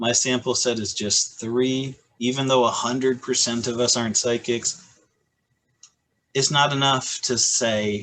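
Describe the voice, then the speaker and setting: A man with a Michigan accent speaks at a medium pitch and a fairly slow pace. His intonation is fairly even, with long, frequent pauses. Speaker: high school physics teacher. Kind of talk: casual chat.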